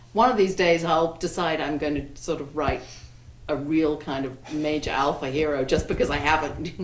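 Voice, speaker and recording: Amid noticeable background noise and audible room echo, a woman with an English accent speaks at a moderate pace in a very deep, low voice with ordinary pitch variation. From England, Wiltshire. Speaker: romance novelist. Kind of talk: panel discussion. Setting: bookstore event with audience. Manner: halting.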